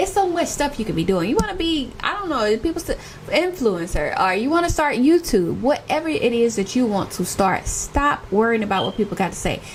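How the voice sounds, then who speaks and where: Over noticeable background noise, a woman talks fairly quickly in a high voice with very wide pitch swings. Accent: American. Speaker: lifestyle YouTuber. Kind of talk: casual vlog talk. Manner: animated.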